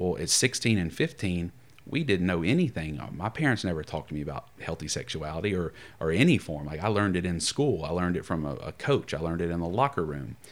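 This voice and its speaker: A man speaks very fast in a very deep, low voice with lively intonation. The recording is very clean, with a silent background. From US South. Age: 30s. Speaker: pastoral counselor. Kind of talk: casual chat.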